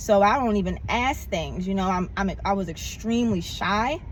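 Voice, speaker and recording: Somewhat breathy and animated, a woman talks at a medium pitch and moderate pace with ordinary pitch variation. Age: 40s. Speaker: vlogger. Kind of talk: casual vlog monologue.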